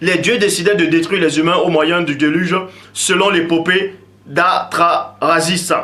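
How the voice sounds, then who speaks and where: There is audible room echo and noticeable background noise as a man talks at a high pitch. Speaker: religious commentator. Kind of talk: lecture.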